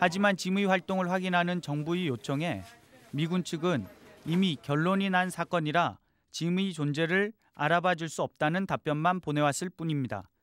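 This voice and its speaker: In a dry, close sound with no echo, a man with a high voice talks at a moderate pace with ordinary pitch variation. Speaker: TV news producer-reporter. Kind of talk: scripted narration.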